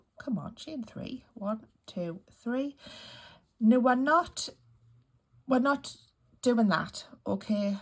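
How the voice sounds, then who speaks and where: Very slow and broken by long, frequent pauses, a woman's high voice shows big swings in loudness and ordinary pitch variation. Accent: Geordie. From northeast England (Newcastle area). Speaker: crochet youtuber. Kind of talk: tutorial. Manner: casual, chatty.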